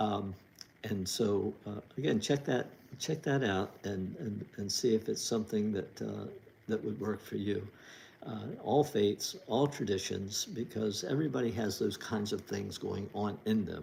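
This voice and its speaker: With vocal fry and a dark, mellow tone, a man speaks at a fairly low pitch and ordinary pitch variation. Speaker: author hosting a livestream. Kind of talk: casual livestream talk. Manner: halting, many fillers.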